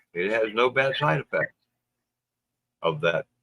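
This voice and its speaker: Heard with a dry, close sound and no echo, a man speaks at a moderate pace. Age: 60s. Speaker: livestream host. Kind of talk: casual chat. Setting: livestream.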